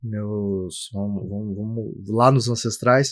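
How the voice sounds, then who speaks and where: Very slow speech from a man, the background quiet. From southern Brazil (Bagé, Rio Grande do Sul), born in Minas Gerais. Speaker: guest speaking about faith and entrepreneurship. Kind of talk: casual podcast interview.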